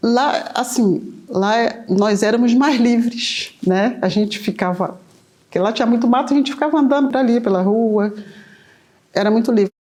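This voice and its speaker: A woman speaks at a moderate pace with a dark, mellow tone and a fairly high pitch. Her loudness is very even and her pitch variation ordinary. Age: 60s. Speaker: candomblé elder. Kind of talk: oral history interview.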